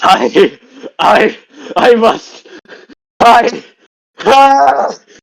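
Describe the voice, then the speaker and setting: A man uses a put-on character voice at an extremely high pitch. His pitch swings very widely. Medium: actual play. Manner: gruff, dramatic.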